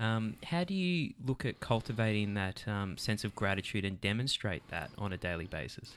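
A man with an Australian accent, fairly low in pitch, lively in intonation, at a moderate pace with hardly any pauses, on a very clean recording with a silent background. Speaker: podcast host. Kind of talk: interview discussion. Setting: studio.

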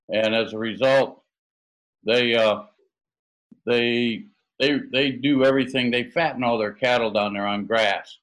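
A man with an American accent at medium pitch, fairly slow and fairly even in intonation, with long, frequent pauses. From US Midwest, Michigan. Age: 60s. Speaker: association executive director, cattle industry. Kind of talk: casual interview.

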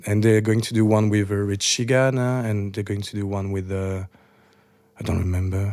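Over noticeable background noise, a man with a French accent speaks at a moderate pace in a fairly low pitch and a monotone, flat intonation. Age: 30s. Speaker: club DJ. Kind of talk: casual chat.

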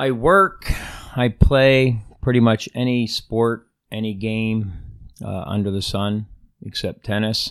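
A man with an American accent speaks very slowly at a medium pitch, with long, frequent pauses and ordinary pitch variation. The recording is very clean, with a silent background. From Pennsylvania, small town. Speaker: construction foreman. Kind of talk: interview about faith. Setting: small home studio. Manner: halting.

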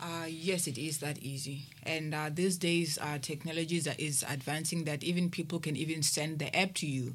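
A woman with a very deep, low pitch, somewhat breathy and monotone, at a moderate pace with hardly any pauses, in audible room echo. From South Africa, Limpopo. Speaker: ministry administrator. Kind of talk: radio panel discussion. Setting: studio.

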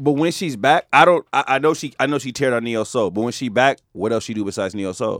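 Speaking very fast with hardly any pauses, a man with an American accent keeps a medium pitch in a very clean recording with a silent background and a dry, close sound with no echo. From Richmond, California (Bay Area). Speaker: podcast co-host. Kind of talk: casual chat.

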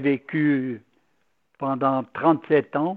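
A man speaks in a flat monotone at a fairly high pitch. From Valais, Switzerland. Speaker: Capuchin priest and former missionary. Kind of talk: radio interview.

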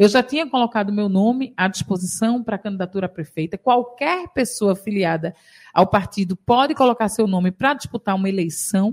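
Somewhat breathy and at a medium pitch, a woman speaks at a fairly quick pace with ordinary pitch variation on a very clean recording with a silent background. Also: dry, close sound with no echo. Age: 40s. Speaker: state legislator. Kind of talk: radio interview. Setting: radio studio.

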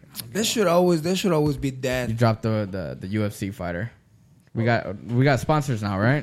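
Fairly quick and lively in intonation, a man talks in a normal speaking voice at medium pitch. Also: very clean recording, silent background. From US, Mexican-American family. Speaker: podcast host. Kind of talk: casual chat.

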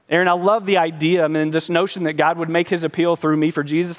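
Using a plain, everyday voice, a man with an American accent speaks at a fairly quick pace. His pitch is fairly high. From Colorado. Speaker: pastor. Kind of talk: sermon with rising call-and-response appeals to the congregation.

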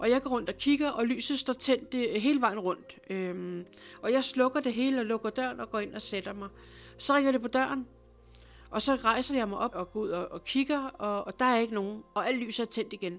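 Her voice is fairly high, with ordinary pitch variation. The woman keeps a moderate pace. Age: 50s. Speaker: clairvoyant healer. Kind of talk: personal storytelling interview. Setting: at her home. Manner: animated.

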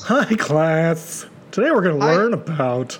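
A put-on character voice sits at a middle pitch and moves at a fairly slow pace. Background noise is clear. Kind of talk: formal, schoolteacher-like. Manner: mock-posh.

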